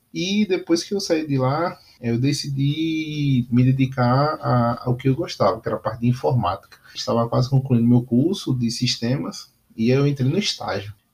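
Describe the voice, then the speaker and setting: A somewhat breathy man at medium pitch, with ordinary pitch variation and a moderate pace. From Northeast Brazil, Aracaju. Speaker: podcast host, entrepreneur. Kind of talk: solo monologue podcast. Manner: halting, many fillers; casual.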